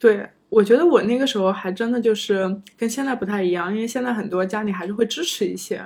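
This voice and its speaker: Over a very clean recording with a silent background, a woman speaks in a plain, everyday voice at a medium pitch with ordinary pitch variation. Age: 30s. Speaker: former PhD student turned office worker. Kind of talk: casual interview chat. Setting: home.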